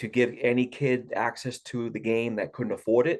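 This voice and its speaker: A man with a Boston accent speaks at a moderate pace. His pitch is medium, and the background is quiet. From Massachusetts, Boston area. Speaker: golf coach. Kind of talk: interview. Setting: podcast.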